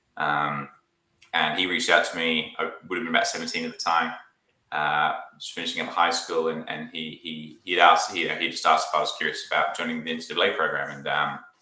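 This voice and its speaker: With audible room echo, a man talks at a very fast pace. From Australia, near Sydney (British family, born in UK). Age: 20s. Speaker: sales engineer. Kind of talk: casual interview chat.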